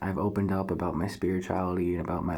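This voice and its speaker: Audible room echo surrounds a man whose very deep, low voice stays monotone and flat. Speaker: spiritual vlogger. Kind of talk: casual monologue to camera. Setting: at home, thin walls. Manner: keeping voice down.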